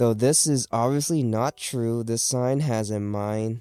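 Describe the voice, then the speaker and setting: Music plays behind a man speaking at a medium pitch. The sound is dry and close, with no echo. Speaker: podcast co-host. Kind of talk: reading aloud. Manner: halting; stumbles over long words.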